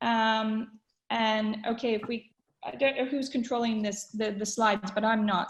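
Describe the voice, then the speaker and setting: Against a quiet background, a woman with a somewhat breathy, fairly high voice speaks in fairly even intonation. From Canada. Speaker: webinar host, communications consultant. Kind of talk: webinar presentation. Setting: online webinar call. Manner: conversational with frequent fillers.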